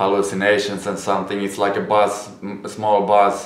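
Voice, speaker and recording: A man speaks with a Finnish accent. His pace is moderate. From Finland. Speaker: YouTuber, former drug addict. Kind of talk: casual talk to camera.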